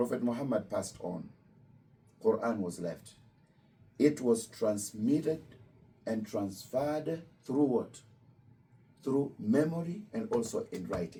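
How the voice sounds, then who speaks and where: At a fairly slow pace, a man speaks with a medium pitch and a dark, mellow tone. His intonation is lively, broken by long, frequent pauses. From Kenya. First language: Luo. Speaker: imam. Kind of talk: religious talk to visitors. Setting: Islamic center with student visitors.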